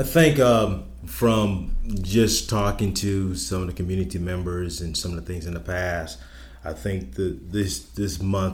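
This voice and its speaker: With an American accent, the speaker talks at a fairly slow pace with lively intonation and vocal fry, and room echo is audible. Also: man. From South Carolina Lowcountry, Charleston. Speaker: public safety director. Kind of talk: interview. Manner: halting, many fillers.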